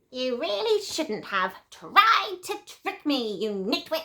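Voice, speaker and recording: A woman adopts a put-on character voice, high in pitch with very wide pitch swings, at a fairly slow pace. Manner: villainous, scolding.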